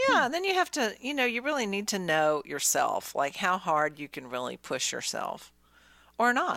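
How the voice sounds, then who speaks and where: This woman's medium-pitched voice has a bright, sharp tone, vocal fry and very wide pitch swings. She speaks at a moderate pace in a very clean recording with a silent background. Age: 60s. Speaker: podcast co-host, bikini fitness competitor. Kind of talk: casual chat. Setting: studio.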